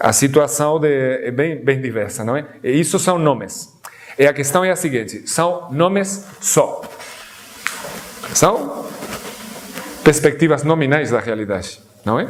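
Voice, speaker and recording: A man with a non-native accent speaks at a fairly slow pace in a fairly high pitch, his intonation lively, broken by long, frequent pauses, with audible room echo and noticeable background noise. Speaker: guest lecturer on Sufism. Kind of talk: lecture. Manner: halting, with false starts.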